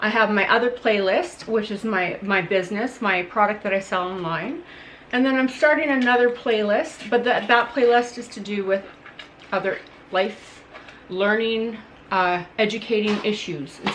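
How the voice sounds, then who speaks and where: A woman at a fairly high pitch and moderate pace, with ordinary pitch variation and noticeable background noise. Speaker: parent vlogger. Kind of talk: casual vlog update. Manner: loud.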